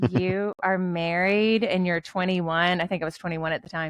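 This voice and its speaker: A woman with a Tennessee accent, a medium pitch and ordinary pitch variation. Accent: Southern US (Tennessee). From US South, western Tennessee. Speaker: author and ghostwriter. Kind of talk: podcast interview.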